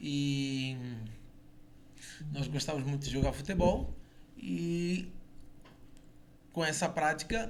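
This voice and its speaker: A man with a fairly high voice speaks very slowly, leaving long, frequent pauses. His intonation is lively, and room echo is audible. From southern Brazil, Itajaí, Santa Catarina. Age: 40s. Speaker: former footballer. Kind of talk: radio interview. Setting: radio studio.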